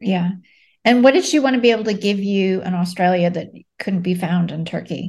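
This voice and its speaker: At a fairly quick pace, a somewhat breathy woman talks at medium pitch with ordinary pitch variation. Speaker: podcast host. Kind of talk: interview.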